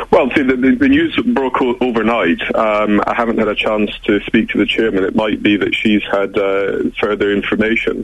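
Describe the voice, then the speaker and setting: Noticeable background noise sits behind a man who talks at a moderate pace with very even loudness and hardly any pauses. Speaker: member of parliament. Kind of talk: radio interview. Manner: hesitant, many fillers.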